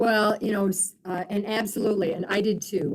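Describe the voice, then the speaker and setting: An unremarkable speaking voice with an American accent, at a moderate pace. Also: woman. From Michigan. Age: 60s. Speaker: physical therapy professor. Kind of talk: webinar lecture with Q&A. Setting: live online webinar.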